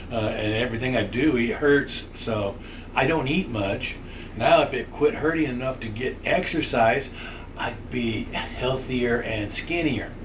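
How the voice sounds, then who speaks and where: Amid noticeable background noise and audible room echo, a man speaks at a fairly slow pace and a medium pitch with ordinary pitch variation. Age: 60s. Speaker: podcast co-host, grandfather. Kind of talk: casual chat.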